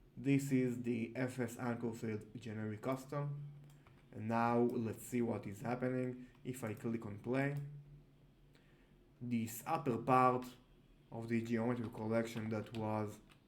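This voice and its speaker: A man talks at a fairly slow pace with long, frequent pauses and monotone, flat intonation. Audible room echo surrounds his voice. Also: medium pitch for a man. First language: not English. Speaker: software tutorial creator. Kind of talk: tutorial. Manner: halting, many fillers.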